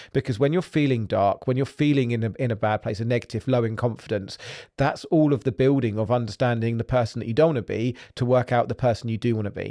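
With an English accent and a dark, mellow tone, a man speaks at a very fast pace with hardly any pauses over a quiet background. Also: medium pitch for a man, ordinary pitch variation. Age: 40s. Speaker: podcast host. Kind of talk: motivational monologue.

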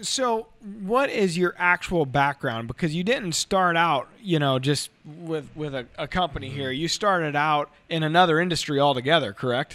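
Here is a man with a plain, everyday voice, pitched fairly high. He speaks at a moderate pace with lively intonation and hardly any pauses. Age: 30s. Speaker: hunting show host. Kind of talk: interview; promo outro.

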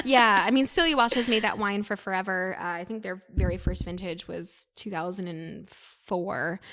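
A woman with an American accent uses a normal speaking voice at a moderate pace and medium pitch. Her pitch variation is ordinary, but her loudness swings widely. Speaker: sommelier and wine content creator. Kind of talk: casual interview chat.

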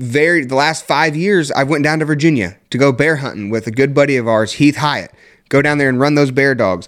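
Animated in tone, a man talks at a medium pitch with lively intonation. The recording is very clean, with a silent background. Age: 20s. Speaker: podcast host and coon hunter. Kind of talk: casual chat. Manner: excitable, animated.

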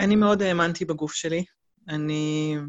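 With a very deep, low pitch, a woman speaks at a moderate pace. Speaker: complementary therapist, single mother. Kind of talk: interview, personal testimony. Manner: hesitant, many fillers.

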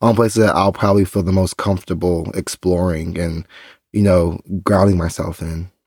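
A man speaks at a fairly quick pace with an American accent. The recording is very clean and silent behind him, with a dry, close sound and no echo. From Texas. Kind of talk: casual chat.

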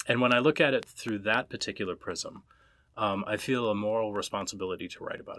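A man talks very fast with a Minnesota accent and a bright, sharp tone. His pitch is fairly low, with ordinary variation. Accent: Minnesota American. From US Midwest, Minnesota. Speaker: author and professor. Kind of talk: interview. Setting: in-person recording.

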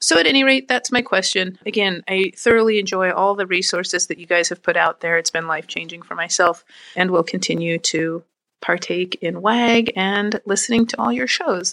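A woman's bright, sharp tone at a fairly quick pace, with ordinary pitch variation and a dry, close sound with no echo. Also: medium pitch for a woman. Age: 40s. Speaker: listener leaving a voicemail question. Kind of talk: recorded voicemail question.

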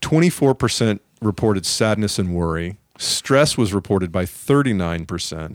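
With an ordinary speaking voice, a man talks at a moderate pace with hardly any pauses, his fairly low pitch carrying lively intonation, in a dry, close sound with no echo on a very clean recording with a silent background. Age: 50s. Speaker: podcast host and stand-up comedian. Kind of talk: interview conversation. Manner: joking, playful.

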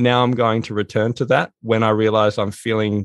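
A man's fairly low voice in an Australian accent, at a moderate pace with fairly even intonation. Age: 40s. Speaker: author and productivity consultant. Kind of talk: interview.

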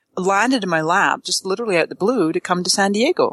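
A woman with a plain, everyday voice, fairly quick and lively in intonation, in a dry, close sound with no echo against a quiet background. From Canada. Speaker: social media marketing expert. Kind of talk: casual interview.

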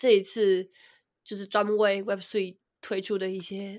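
At a moderate pace, a woman speaks at medium pitch in a very clean recording with a silent background. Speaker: crypto podcast co-host. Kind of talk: casual news discussion.

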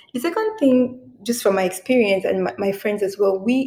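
Noticeable background noise accompanies a woman who speaks fairly quickly, her pitch varying in an ordinary way. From Cameroon, moved to US at 16. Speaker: lawyer and podcast host. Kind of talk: interview. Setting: remote recording.

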